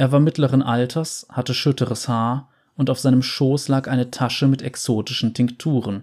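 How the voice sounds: In a natural reading voice, someone reads with fairly even intonation.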